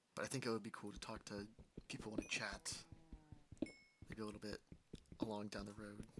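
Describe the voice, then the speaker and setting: A man with a fairly low pitch and monotone, flat intonation, at a fairly quick pace with long, frequent pauses. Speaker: gaming streamer. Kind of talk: live gameplay stream commentary. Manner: fast; casual, self-talking.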